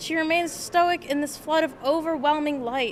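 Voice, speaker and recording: A woman's high pitch with fairly even intonation. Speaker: art student. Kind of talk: reading aloud. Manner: soft-spoken.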